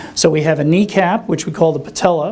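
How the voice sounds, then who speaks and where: A man speaks at a high pitch, with audible room echo around him. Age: 60s. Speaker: orthopedic surgeon. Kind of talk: lecture. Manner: conversational, with many fillers.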